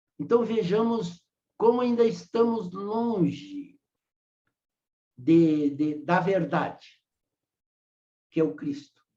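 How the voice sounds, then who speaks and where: A man's dark, mellow tone at a very slow pace, with very wide pitch swings. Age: 80s+. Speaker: spiritist lecturer. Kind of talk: lecture discussion. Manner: halting.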